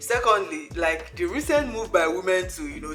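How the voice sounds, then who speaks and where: With music in the background, a woman speaks at a moderate pace with lively intonation. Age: 30s. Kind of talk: casual talk to camera.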